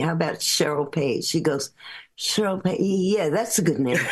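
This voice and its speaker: With a New York accent, a woman speaks at a moderate pace in a fairly low pitch with ordinary pitch variation. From New York (Bronx, Brooklyn, Long Island). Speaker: singer-songwriter. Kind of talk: casual interview storytelling. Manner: animated.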